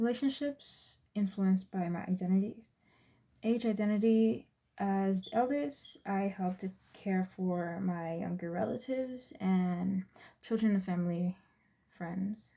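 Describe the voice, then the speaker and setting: A woman's medium-pitched, somewhat breathy voice with a dark, mellow tone and ordinary pitch variation. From Texas, born in US Virgin Islands. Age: 20s. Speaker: student. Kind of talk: class presentation.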